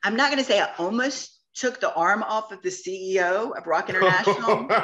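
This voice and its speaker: An animated woman with a fairly high pitch talks at a fairly quick pace with lively intonation. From US South, Georgia. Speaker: t-shirt shop owner. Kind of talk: interview conversation. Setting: podcast. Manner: fast.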